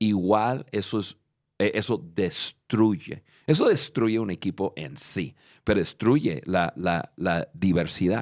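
A man with a fairly low pitch speaks at a very slow pace with lively intonation. The recording is very clean with a silent background and a dry, close sound with no echo. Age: 50s. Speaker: leadership podcast host. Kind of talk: casual chat. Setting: studio.

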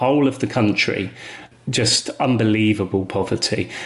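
A somewhat breathy voice with a southern English accent and ordinary pitch variation. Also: man. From England. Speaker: artist. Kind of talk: interview.

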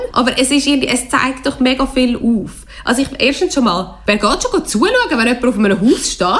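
Noticeable background noise sits behind a woman with a Swiss accent and a high pitch. She keeps a moderate pace and very even loudness. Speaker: literature radio show host. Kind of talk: book discussion. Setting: radio studio.

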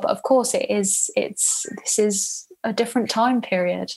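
A woman's somewhat breathy voice in a British accent, at a fairly slow pace. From Spain. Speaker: travel journalist. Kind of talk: interview.

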